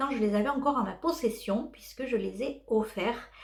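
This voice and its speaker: A woman with a fairly high pitch and ordinary pitch variation talks at a moderate pace as noticeable background noise plays. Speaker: knitting vlogger. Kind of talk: casual vlog chat. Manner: hesitant, many filler sounds.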